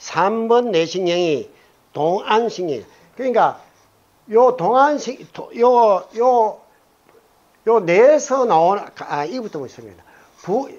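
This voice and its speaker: Pausing long and often, a man talks at a very slow pace in a high pitch, with lively intonation and big swings in loudness. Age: 70s. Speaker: retired biology professor lecturing on Buddhist teaching. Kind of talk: lecture. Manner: casual, conversational with audience questions.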